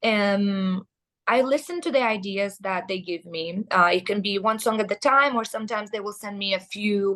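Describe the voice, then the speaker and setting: This woman has a medium pitch with ordinary variation and speaks at a moderate pace. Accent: Russian. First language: Russian. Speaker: metal band vocalist. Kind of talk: interview. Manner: hesitant, many fillers.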